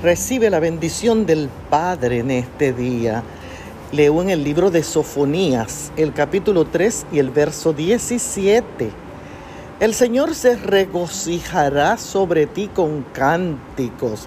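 A woman with a fairly low voice speaks very slowly, her pitch swinging very widely. Noticeable background noise runs throughout. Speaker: devotional speaker. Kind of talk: devotional.

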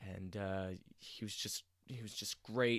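A man speaks at a fairly slow pace in a monotone, flat delivery. The recording is very clean, with a silent background and a dry, close sound free of echo. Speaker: sports podcast host. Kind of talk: solo sports podcast monologue. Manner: frequent filler words and hesitations.

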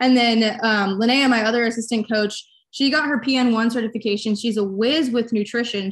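A woman with a fairly high pitch uses an ordinary speaking voice, with ordinary pitch variation, at a moderate pace with hardly any pauses. Her loudness stays very even over a quiet background. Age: 20s. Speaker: online fitness coach. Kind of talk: casual interview.

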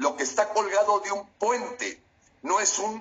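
At a fairly slow pace, a man speaks in a high voice. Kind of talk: heated political commentary. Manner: indignant, emphatic.

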